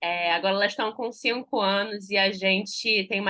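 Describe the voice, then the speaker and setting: A woman holds a medium pitch while speaking at a moderate pace. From Rio de Janeiro, Brazil. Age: 30s. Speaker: journalist and mother telling her breastfeeding story. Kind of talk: podcast interview, personal story. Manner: animated.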